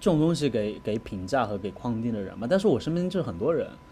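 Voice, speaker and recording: A man with a medium pitch speaks at a fairly quick pace. His voice is somewhat breathy, with lively intonation. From Guizhou, Guiyang. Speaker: podcast co-host. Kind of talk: casual chat. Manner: animated, laughing often.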